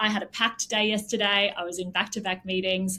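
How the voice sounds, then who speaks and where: In an Australian accent, a woman speaks at medium pitch with a bright, sharp tone. Her pace is fairly quick and her intonation monotone and flat. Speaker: tech company CEO. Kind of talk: interview conversation.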